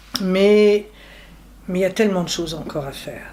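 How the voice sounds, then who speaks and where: The speech comes at a fairly slow pace, with noticeable background noise. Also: woman. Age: 60s. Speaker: retiree. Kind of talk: interview testimony.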